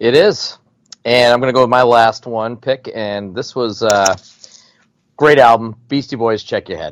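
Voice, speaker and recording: With an unremarkable speaking voice, a man talks at a moderate pace in a medium pitch, keeping his intonation fairly even. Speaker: podcast host. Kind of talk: casual chat.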